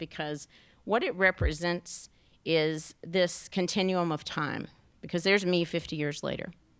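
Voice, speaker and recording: In a very clean recording with a silent background, a woman with a Southern US accent speaks at a fairly low pitch with ordinary pitch variation. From US South. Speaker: national park superintendent. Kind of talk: keynote presentation with slides. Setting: luncheon event with audience. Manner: fast.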